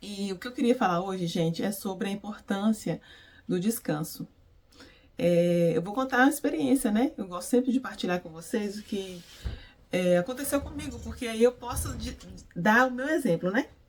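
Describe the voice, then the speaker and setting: A woman's somewhat breathy, medium-pitched voice at a moderate pace, with lively intonation and big swings in loudness. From Brazil, Minas Gerais. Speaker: beautician and faith vlogger. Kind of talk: devotional vlog talk. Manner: animated, energetic.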